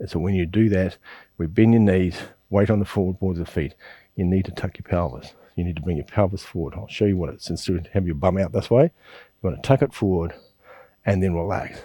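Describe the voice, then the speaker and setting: This voice has a dark, mellow tone and a New Zealand accent. The pace is fairly quick. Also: man, very deep, low pitch for a man, ordinary pitch variation, very clean recording, silent background. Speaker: qigong teacher. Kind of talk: instructional class. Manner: fast.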